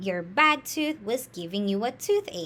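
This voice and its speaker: A female-sounding put-on character voice is heard. It holds a medium pitch and moves at a moderate pace. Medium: read story.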